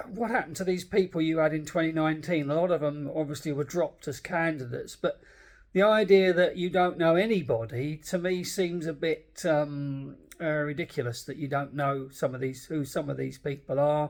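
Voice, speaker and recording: A man with an English accent speaks at a fairly high pitch with ordinary pitch variation. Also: fairly quick pace, very clean recording, silent background. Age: 60s. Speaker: political commentator. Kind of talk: casual monologue. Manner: halting.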